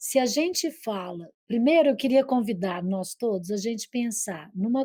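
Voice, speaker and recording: A woman with a Minas Gerais accent speaks at a fairly slow pace in a fairly high voice. Her tone is dark and mellow, and her intonation is lively. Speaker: psychoanalyst. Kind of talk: TV interview. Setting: online video call. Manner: gentle.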